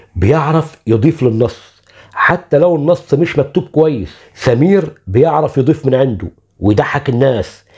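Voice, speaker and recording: This man speaks with an Egyptian accent at a fairly high pitch, using lively intonation, a fairly slow pace, vocal fry and very even loudness. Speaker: YouTube channel host, arts narrator. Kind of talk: scripted narration.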